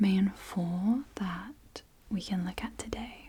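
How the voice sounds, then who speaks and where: Soft-spoken and very slow, a woman talks at a medium pitch in monotone, flat intonation, with noticeable background noise. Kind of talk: ASMR roleplay.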